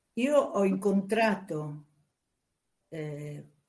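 Lively intonation from a woman, her voice somewhat breathy. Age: 80s+. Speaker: former dancer, book subject. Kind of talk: interview.

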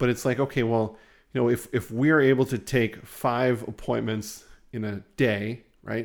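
Over a very clean recording with a silent background, a man with an ordinary speaking voice and medium pitch talks at a fairly slow pace with fairly even intonation. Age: 40s. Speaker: podcast host, business marketing agency owner. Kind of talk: casual business chat.

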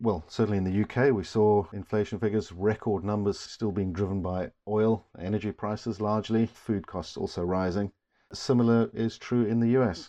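A man with an unremarkable speaking voice, fairly low in pitch, at a moderate pace with hardly any pauses and fairly even intonation. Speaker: investment manager hosting market update. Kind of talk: market commentary podcast.

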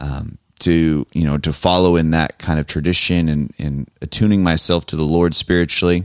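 A man with an American accent, very deep and low in pitch, at a fairly slow pace with ordinary pitch variation, in a dry, close sound with no echo. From Southern California, Los Angeles South Bay. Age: 30s. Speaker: student pastor. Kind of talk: casual interview.

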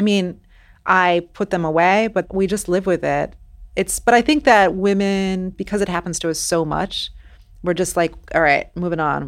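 In a very clean recording with a silent background, a woman speaks in an ordinary speaking voice. Her pitch is fairly low, with ordinary pitch variation. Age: 40s. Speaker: novelist. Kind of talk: interview.

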